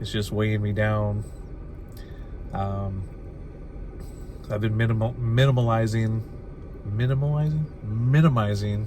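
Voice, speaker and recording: Fairly slow, fairly even speech with long, frequent pauses, audible room echo and noticeable background noise. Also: man, fairly low pitch for a man. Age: 50s. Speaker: lifestyle vlogger. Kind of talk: casual vlog monologue. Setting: in a car at a rest stop. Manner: halting, many fillers.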